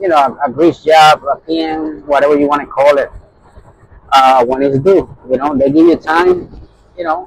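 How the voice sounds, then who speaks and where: A man speaks at a moderate pace with a strong Puerto Rican accent. His pitch is fairly high and his intonation fairly even. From Puerto Rican, grew up in New York. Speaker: truck driver, owner operator. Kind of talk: casual vlog talk.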